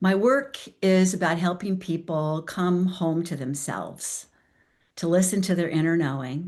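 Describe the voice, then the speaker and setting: Delivery is fairly slow with ordinary pitch variation. The background is quiet. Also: woman, fairly low pitch for a woman. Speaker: transformational coach. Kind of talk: talk to a virtual group. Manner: deliberately slow.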